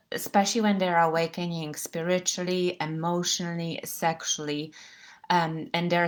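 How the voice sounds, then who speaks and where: The recording is very clean, with a silent background. A woman speaks in a fairly low pitch with monotone, flat intonation. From Poland. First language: Polish. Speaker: women's coach. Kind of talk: live-stream talk. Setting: live stream. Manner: halting.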